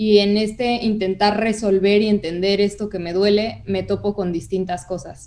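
A woman's normal speaking voice, medium in pitch, at a fairly slow pace. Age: 20s. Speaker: communication and audiovisual arts student. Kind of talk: casual interview conversation.

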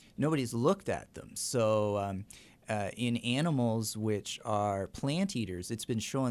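A man talks at a fairly slow pace and a medium pitch, with ordinary pitch variation. The recording is very clean, with a silent background. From Canada. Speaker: microbiology teacher. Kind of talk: interview. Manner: hesitant, many fillers.

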